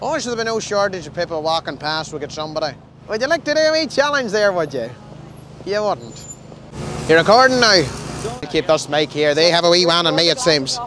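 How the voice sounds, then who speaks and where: A man with a Northern Irish accent and high pitch, at a fairly quick pace with long, frequent pauses and very wide pitch swings, in a dry sound with no echo over noticeable background noise. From Derry, Northern Ireland. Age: young. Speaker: comedian. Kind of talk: street interview banter. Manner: fast. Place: street. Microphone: handheld.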